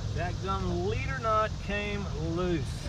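Over loud background noise, a man talks at a very slow pace in a dry sound with no echo. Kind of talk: casual fishing vlog commentary. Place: boat. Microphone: camera far.

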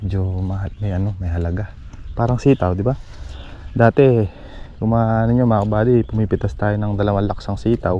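Speaking in an unremarkable speaking voice, a man talks at a fairly quick pace in a fairly low pitch with fairly even intonation, the sound dry with no echo. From Philippines. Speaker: farm vlogger. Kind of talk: casual vlog narration. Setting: outdoors on a farm. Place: farm. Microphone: phone near.

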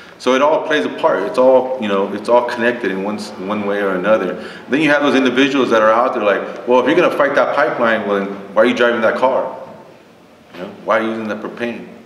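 Very fast speech with an American accent, ordinary pitch variation and audible room echo. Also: man, medium pitch for a man. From Texas. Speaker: panelist. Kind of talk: panel discussion. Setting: stage with audience. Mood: earnest, firm conviction. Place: meeting room.

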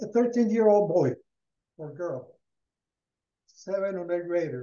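A man with a Spanish accent speaks at a fairly slow pace in a high pitch, his intonation lively, with audible room echo around him. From Colombia. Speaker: rural education program founder; guest. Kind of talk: presentation. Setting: video call. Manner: halting. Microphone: headset.

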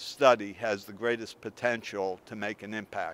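The man's voice has fairly even intonation and a dry sound with no echo. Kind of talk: interview answer. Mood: calm, thoughtful. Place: street. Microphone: handheld.

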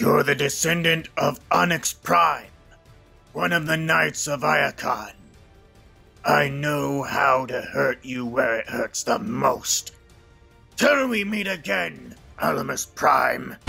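A man's put-on character voice, fairly high in pitch, at a fairly slow pace, with faint music in the background. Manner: shouting, domineering, furious.

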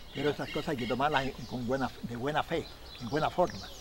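With a Chilean accent, a man talks at a fairly quick pace against noticeable background noise. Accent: rural Chilean Spanish. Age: 70s. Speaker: Chilean horse trainer and rodeo rider. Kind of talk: documentary interview, storytelling. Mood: animated, gesturing storyteller. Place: open country.

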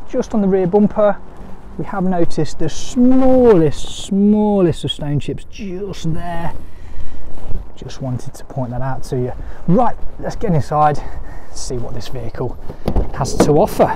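Over clear background noise, a man with a fairly high voice speaks at a fairly slow pace with lively intonation.

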